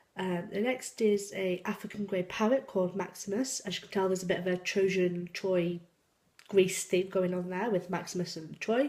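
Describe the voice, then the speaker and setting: A woman with a slight Yorkshire accent, moderate pace, fairly even intonation and big swings in loudness. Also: medium pitch for a woman. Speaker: YouTuber, cross-stitch hobbyist and senior carer. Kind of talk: casual vlog, answering tag questions. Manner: hesitant, many ums.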